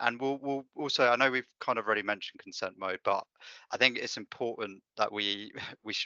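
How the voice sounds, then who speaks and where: A man with a British accent at a very fast pace. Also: dry, close sound with no echo. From UK. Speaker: data analytics consultant. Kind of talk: tutorial. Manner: hesitant, many fillers.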